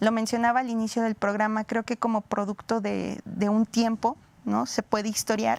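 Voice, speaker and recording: The speech moves at a moderate pace in a monotone, flat intonation. The sound is dry and close with no echo, a very clean recording over a silent background. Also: woman, fairly high pitch for a woman. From Mexico. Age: 30s. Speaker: historian. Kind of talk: interview. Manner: hesitant, many fillers.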